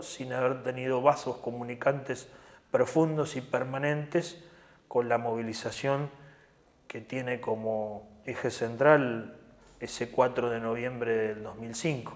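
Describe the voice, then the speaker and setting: Fairly slow and with fairly even intonation, a man talks at medium pitch. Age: 60s. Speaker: trade union leader. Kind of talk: interview. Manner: hesitant fillers.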